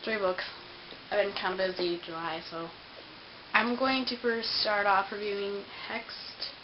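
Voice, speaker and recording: A woman speaks fairly slowly at a medium pitch with ordinary variation and long, frequent pauses, amid noticeable background noise and audible room echo. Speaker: book vlogger. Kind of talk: casual book review vlog. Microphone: poor camera recording.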